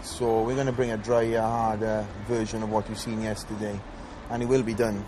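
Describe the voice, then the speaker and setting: Speaking in a monotone, flat voice at medium pitch, a man moves at a fairly quick pace. Audible room echo and noticeable background noise surround him. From Wales. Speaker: professional bodybuilder. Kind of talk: video diary. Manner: hesitant, many fillers.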